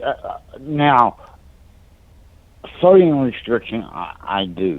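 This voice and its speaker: Speaking at a very slow pace, a man makes very wide pitch swings. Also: medium pitch for a man. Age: 60s. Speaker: caller, heart patient. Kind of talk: call-in question. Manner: halting, repeats words.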